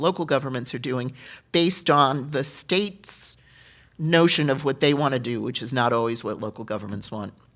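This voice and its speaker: Someone with a New York accent speaks at a moderate pace with ordinary pitch variation on a very clean recording with a silent background. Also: woman. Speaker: political candidate. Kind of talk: candidate forum answers. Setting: theater forum.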